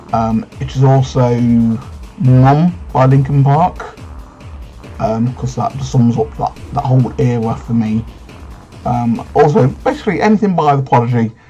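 Faint music plays in the background as a man speaks. His pace is fairly slow, with long, frequent pauses. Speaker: youtuber. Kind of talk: casual vlog chat. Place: home room. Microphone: webcam.

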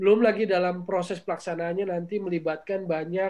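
With fairly even intonation, a high-pitched man speaks at a moderate pace. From Indonesia. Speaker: football commentator. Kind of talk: panel discussion. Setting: video call. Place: home room. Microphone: video call.

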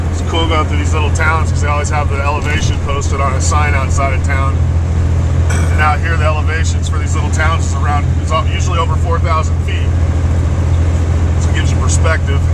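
Very fast speech over loud background noise. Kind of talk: casual vlog chat. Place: car. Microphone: phone near.

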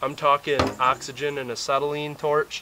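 This man has a normal speaking voice, fairly high in pitch, with an American accent, speaking at a fairly slow pace over light background noise. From Wisconsin. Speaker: DIY mechanic video creator. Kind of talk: tutorial. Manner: casual, filler-heavy. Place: garden.

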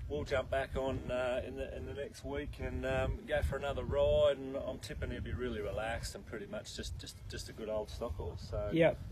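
A man talks at a moderate pace with hardly any pauses. Noticeable background noise runs underneath. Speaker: horse trainer. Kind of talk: interview answer. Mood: relaxed, easygoing. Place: farm. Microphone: camera far.

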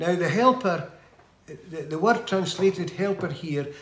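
Over audible room echo, a man speaks with a high pitch and ordinary pitch variation. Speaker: lay preacher. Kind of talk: sermon. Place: home room. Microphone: phone near.

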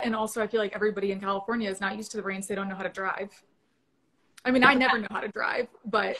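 The speech runs at a very fast pace with fairly even intonation over light background noise. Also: woman. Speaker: remote guest, sports reporter. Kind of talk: interview answer. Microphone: video call.

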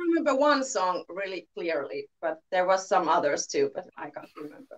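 In a Finnish accent, a woman speaks at a moderate pace with hardly any pauses. Her pitch swings very widely and her loudness shifts in big swings. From Finland. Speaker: band singer. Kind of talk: casual interview. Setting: video call. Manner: halting. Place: home room.

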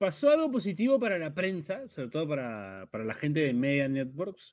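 A man's pitch swings very widely on a very clean recording with a silent background. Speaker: sports podcast host. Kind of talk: casual chat.

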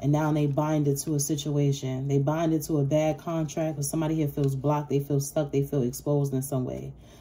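A woman speaks in a very deep, low voice with a dark, mellow tone, somewhat breathy and with flat, monotone intonation. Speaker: tarot reader. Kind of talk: casual tarot reading monologue. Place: home room. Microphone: phone near.

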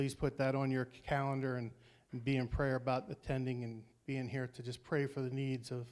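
Against near silence, a man speaks at an even, moderate tempo. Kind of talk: announcements. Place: church. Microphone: handheld.

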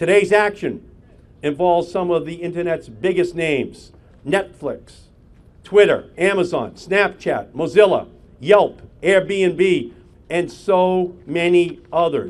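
This man speaks at a very slow pace in a high voice, his pitch varying in the ordinary way. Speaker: politician at a press conference. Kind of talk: speech. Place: street. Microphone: podium.

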